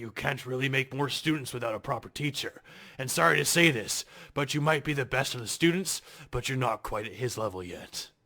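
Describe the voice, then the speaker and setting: A man puts on a raspy character voice at a medium pitch, speaking at a fairly quick pace. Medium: audio drama. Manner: blunt, plain-spoken.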